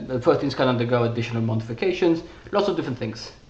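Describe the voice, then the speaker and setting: Talking at a very fast pace, a man of medium pitch shows ordinary pitch variation, with audible room echo and noticeable background noise. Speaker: researcher presenting his paper. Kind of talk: technical presentation. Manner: halting, many fillers and restarts.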